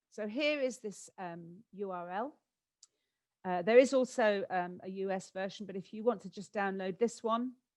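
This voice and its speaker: In a British accent, a woman speaks with ordinary pitch variation and big swings in loudness. The background is quiet. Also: medium pitch for a woman. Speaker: education specialist giving a presentation. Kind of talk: conference webinar presentation. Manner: fast.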